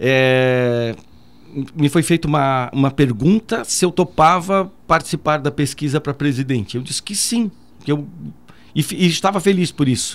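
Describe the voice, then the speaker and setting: Using a plain, everyday voice, a man talks at a moderate pace with a fairly high pitch and lively intonation. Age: 50s. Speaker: military police commander. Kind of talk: radio interview. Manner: formal.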